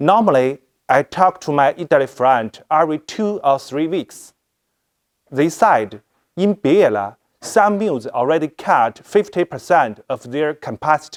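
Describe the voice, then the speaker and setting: The sound of this man is dry and close, with no echo. He speaks at a fairly slow pace in a fairly high pitch. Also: lively intonation. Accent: Chinese. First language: Chinese. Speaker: fashion product director. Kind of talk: presentation. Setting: live stream. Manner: halting.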